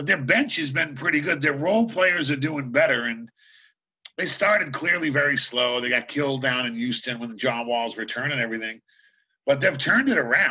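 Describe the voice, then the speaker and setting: With an American accent, a man speaks fairly quickly in a fairly high, bright, sharp voice, his tone animated and his intonation lively. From Boston, US. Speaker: basketball coach and TV analyst. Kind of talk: casual chat.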